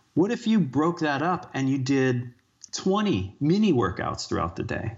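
In an American accent, an unremarkable speaking voice moves at a fairly slow pace with lively intonation. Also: man. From United States. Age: 40s. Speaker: fitness coach and author. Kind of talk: interview.

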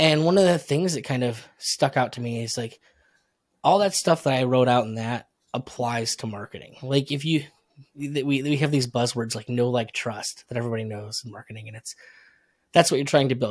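A plain, everyday voice with an American accent shows ordinary pitch variation and big swings in loudness. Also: man, medium pitch for a man, moderate pace. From upstate New York. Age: 30s. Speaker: marketer and podcaster. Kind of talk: casual interview chat.

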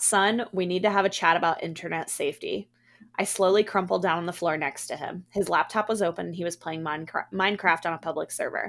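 In a dramatic, playful tone, a woman talks fairly quickly at a fairly low pitch with fairly even intonation on a very clean recording with a silent background. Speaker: podcast host. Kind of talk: ghost story telling, reading a scary tale aloud. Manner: dramatic, playful, acting out the dialogue.

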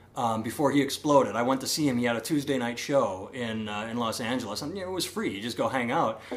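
Very fast speech with an American accent and ordinary pitch variation comes through noticeable background noise. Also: man. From Iowa. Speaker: comedian and podcast host. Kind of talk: casual chat. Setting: home recording in co-host's house.

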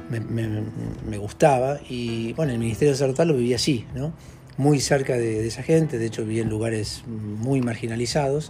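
Audible room echo surrounds talking that goes at a moderate speed, its pitch varying in an ordinary way. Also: man, medium pitch for a man. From Argentina. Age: 50s. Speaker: social worker and former priest. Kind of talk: interview. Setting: at his home. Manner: halting.

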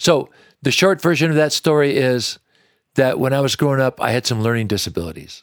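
An American accent marks this man's ordinary speaking voice, fairly high in pitch, with ordinary pitch variation and a fairly quick pace. The recording is very clean, with a silent background and a dry, close sound with no echo. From Washington State, US. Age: 60s. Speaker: country singer-songwriter. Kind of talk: interview conversation. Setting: supper club venue.

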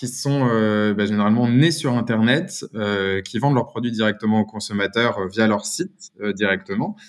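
A man with an ordinary speaking voice talks at a medium pitch and a moderate pace. He barely pauses, and his pitch shifts in an ordinary way. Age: 30s. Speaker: brand founder. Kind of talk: interview.

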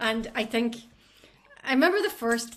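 A woman with a fairly high voice talks in a Scottish accent. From Scottish island. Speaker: music industry worker. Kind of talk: casual interview chat.

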